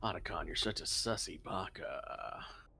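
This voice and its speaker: This man puts on a gravelly character voice at a moderate pace. Clear background noise is present. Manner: mocking, teasing.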